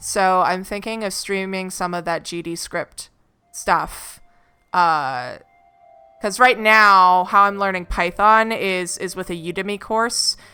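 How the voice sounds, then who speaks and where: Woman at a medium pitch and very slow pace, her intonation fairly even, with music in the background. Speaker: artist streamer. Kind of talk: casual live stream chat. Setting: live stream while drawing.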